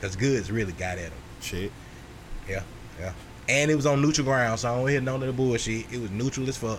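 A man at a very fast pace with long, frequent pauses, ordinary pitch variation, and audible room echo. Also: medium pitch for a man. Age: 30s. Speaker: podcast host. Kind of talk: casual chat.

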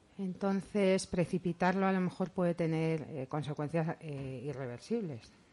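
With ordinary pitch variation, a woman keeps to a fairly slow pace. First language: Italian and Spanish (speaking Spanish). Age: 40s. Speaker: psychologist. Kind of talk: interview. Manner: halting.

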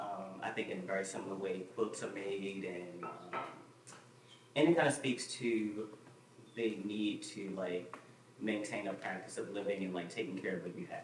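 With audible room echo, a man speaks at a fairly low pitch with ordinary pitch variation. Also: moderate pace. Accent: American. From Baltimore, US. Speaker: artist. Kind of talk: public conversation with audience. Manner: halting, many fillers.

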